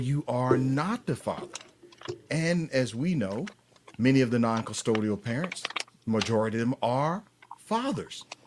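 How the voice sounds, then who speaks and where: Speaking with an American accent, a man uses lively intonation at a fairly slow pace over noticeable background noise. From US South, Atlanta, Georgia. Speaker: paternity fraud advocate and author. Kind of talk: live stream interview.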